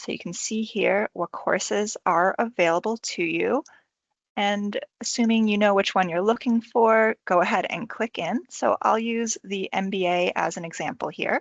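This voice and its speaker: With an American accent, a woman uses an ordinary speaking voice at a medium pitch, speaking at a moderate pace with ordinary pitch variation. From United States. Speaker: university enrolment advisor. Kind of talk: tutorial. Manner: casual, friendly.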